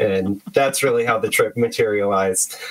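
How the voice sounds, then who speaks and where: Noticeable background noise accompanies a man talking in an American accent. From US, San Francisco Bay Area. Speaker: electronic musician. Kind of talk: casual interview chat. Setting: remote call.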